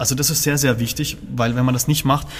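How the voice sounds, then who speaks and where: Male speech, somewhat breathy, its pitch moving in an ordinary way. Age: 30s. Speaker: organist. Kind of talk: interview.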